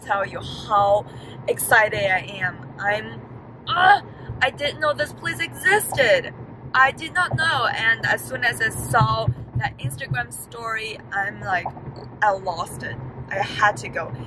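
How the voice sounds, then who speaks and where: A woman's voice shows very wide pitch swings. The sound is dry with no echo, with noticeable background noise. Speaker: plant vlogger. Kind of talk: casual vlog chat. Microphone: phone near.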